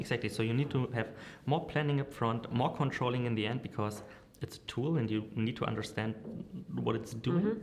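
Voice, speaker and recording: A man speaks at a fairly quick pace with a medium pitch and fairly even intonation, over noticeable background noise. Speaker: marketing director and agency founder. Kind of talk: interview. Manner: hesitant, many fillers.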